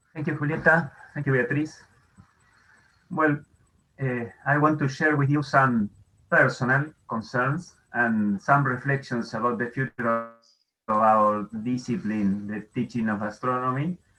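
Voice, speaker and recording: A man with a non-native accent at a fairly slow pace, long, frequent pauses and music in the background. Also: medium pitch for a man, ordinary pitch variation. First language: Spanish. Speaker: astronomy educator. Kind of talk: conference talk. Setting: video call. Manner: halting.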